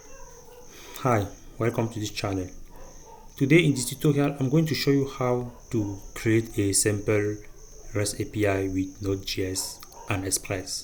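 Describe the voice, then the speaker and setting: A somewhat breathy man with a non-native accent at a fairly slow pace, with audible room echo. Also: medium pitch for a man, ordinary pitch variation. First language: not English. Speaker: programming tutorial creator. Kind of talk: tutorial. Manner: halting, with fillers.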